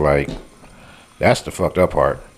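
At a moderate pace, this man talks while noticeable background noise is heard. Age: 40s. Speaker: podcast co-host. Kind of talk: casual chat.

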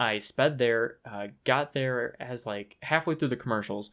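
At a moderate pace and medium pitch, a man speaks on a very clean recording with a silent background. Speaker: podcast co-host. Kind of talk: casual chat. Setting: home setup with table and mics.

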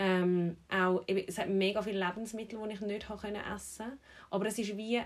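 Here a woman speaks with a Zurich accent at a medium pitch. Her intonation stays monotone and flat. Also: moderate pace. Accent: Zurich Swiss German dialect. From Switzerland, Zurich. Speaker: personal trainer and podcast host. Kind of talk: casual chat.

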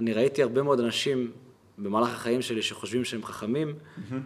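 Room echo can be heard around the speech. The delivery runs fairly quick, and the pitch varies in an ordinary way. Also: man. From Israel, Kiryat Malachi. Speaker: podcast host. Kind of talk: interview.

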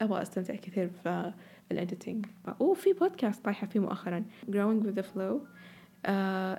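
A woman with a medium pitch, a dark, mellow tone, and a somewhat breathy sound. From Saudi Arabia. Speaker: podcast host. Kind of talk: casual solo monologue, chatty podcast. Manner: casual, chatty, code-switching with English.

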